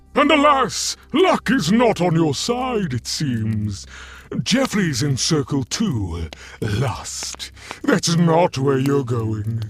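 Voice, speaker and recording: A man puts on a character voice at a fairly high pitch. He speaks at a very slow pace with faint music in the background. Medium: audio drama. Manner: breezy, playful, smugly polite.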